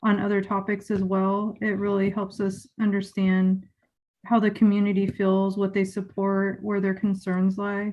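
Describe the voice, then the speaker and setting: A woman talks at a fairly slow pace in a flat monotone. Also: quiet background. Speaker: school board member. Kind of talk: public meeting remarks.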